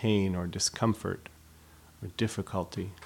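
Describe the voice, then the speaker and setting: In a very clean recording with a silent background, a man has an unremarkable speaking voice, fairly low in pitch, with fairly even intonation. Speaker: meditation teacher. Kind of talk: guided body scan meditation, slow spoken instructions. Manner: slow, unhurried, with long pauses between phrases; gentle, soothing and invitational.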